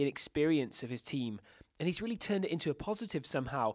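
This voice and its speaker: With a British accent, a man speaks at a very fast pace in a fairly high voice with lively intonation, on a very clean recording with a silent background. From Britain. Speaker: football journalist. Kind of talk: casual chat.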